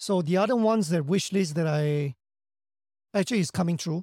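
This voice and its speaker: Speaking very fast in a Singaporean accent, a man with a high pitch and a dark, mellow tone shows ordinary pitch variation in a dry, close sound with no echo. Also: very clean recording, silent background. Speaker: actor and action director. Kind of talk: interview, casual chat.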